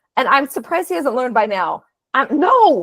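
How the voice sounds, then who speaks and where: Through a dry, close sound with no echo, a woman speaks at a high pitch with very wide pitch swings. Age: 50s. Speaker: podcast host. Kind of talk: interview.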